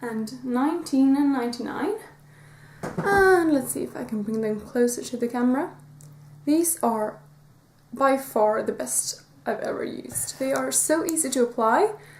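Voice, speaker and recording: Over noticeable background noise, a woman with a high pitch talks at a fairly slow pace with lively intonation. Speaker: beauty YouTuber. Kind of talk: product review vlog. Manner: hesitant, many fillers.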